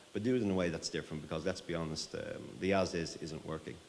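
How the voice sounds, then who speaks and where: A man speaks with a very deep, low pitch and ordinary pitch variation. Audible room echo surrounds the voice. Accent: Irish. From Ireland. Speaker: tech company CEO. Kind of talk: conference talk. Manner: fast.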